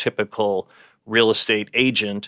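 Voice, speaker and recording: In a very clean recording with a silent background and a dry, close sound with no echo, a man speaks in a bright, sharp tone with a New York accent. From New York City (Bay Ridge, Brooklyn). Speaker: luxury real estate broker. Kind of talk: interview.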